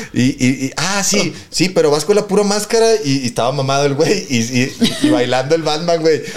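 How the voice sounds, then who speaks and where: With hardly any pauses, a man speaks at a moderate pace in a fairly high voice with lively intonation. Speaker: podcast host. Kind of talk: casual chat. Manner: animated.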